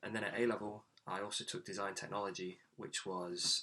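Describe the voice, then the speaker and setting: Speaking with an East Midlands accent, a man delivers his words at a fairly quick pace in a bright, sharp tone. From England, Nottingham. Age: 20s. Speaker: graduate mechanical engineer. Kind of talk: career talk monologue.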